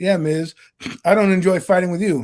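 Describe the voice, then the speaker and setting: With an American accent, a man talks at a fairly quick pace on a very clean recording with a silent background. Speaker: sports podcast co-host. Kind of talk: casual chat. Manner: loud; animated.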